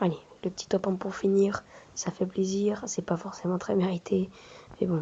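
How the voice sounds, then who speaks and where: A soft-spoken man talks in a high voice at a fairly slow pace. He leaves long, frequent pauses. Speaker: gaming youtuber. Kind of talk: gameplay commentary. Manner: halting, many hesitations.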